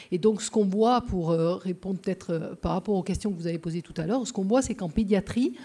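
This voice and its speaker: Speaking very fast with hardly any pauses, a woman with a dark, mellow tone and medium pitch shows ordinary pitch variation and big swings in loudness. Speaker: pediatrician. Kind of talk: conference talk. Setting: lecture hall with audience. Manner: hesitant, many filler sounds.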